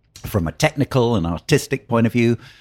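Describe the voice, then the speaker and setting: At a very fast pace, a man with a British accent and dark, mellow tone is heard in a very clean recording with a silent background and a dry, close sound with no echo. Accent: British, clearly audible. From southern England, Oxford. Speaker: wine educator. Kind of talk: interview. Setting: hotel, in person.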